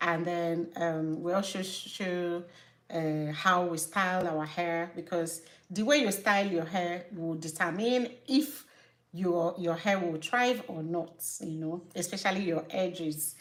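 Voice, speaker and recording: In a strong Nigerian accent, a woman with a fairly low pitch and ordinary pitch variation speaks fairly slowly, with audible room echo. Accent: Nigerian, thick. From Nigeria (Igbo). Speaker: natural hair care YouTuber and business owner. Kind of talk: live stream chat. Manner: halting, self-correcting.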